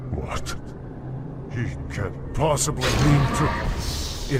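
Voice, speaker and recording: Someone speaks in a put-on character voice at a very slow pace. Loud background noise is present. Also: man. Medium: short film. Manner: menacing, mocking.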